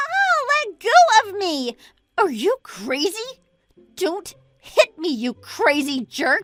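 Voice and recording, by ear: A woman's put-on character voice at an extremely high pitch, fairly bright in tone, with big pitch swings and a slow pace over faint music in the background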